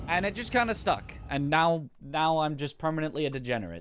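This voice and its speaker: This man has an unremarkable speaking voice with an American accent. His pitch is fairly high for a man, and he speaks at a moderate pace. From US Pacific Northwest. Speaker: video game streamer and speedrunner. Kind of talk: live stream chat.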